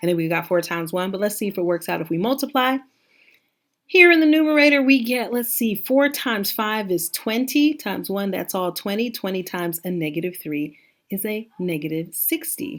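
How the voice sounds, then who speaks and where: A woman at a medium pitch and fairly quick pace, with very wide pitch swings, on a very clean recording with a silent background. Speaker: math teacher. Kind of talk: tutorial. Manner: fast; casual, conversational.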